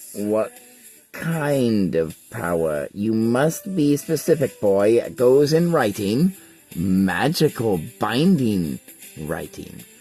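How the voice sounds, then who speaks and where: A man's put-on character voice at medium pitch, very slow and full of very wide pitch swings, with faint music in the background. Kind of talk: archaic, formal. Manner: demanding, stern.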